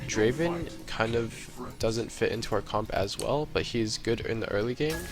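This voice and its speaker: A man speaks quietly at a medium pitch and moderate pace. His pitch varies in an ordinary way, with music in the background. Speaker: gamer. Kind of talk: live gameplay commentary.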